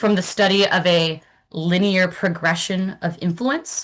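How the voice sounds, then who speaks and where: Against a quiet background, a woman with a normal speaking voice talks at a fairly slow pace in a medium pitch. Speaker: academic presenter. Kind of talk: lecture.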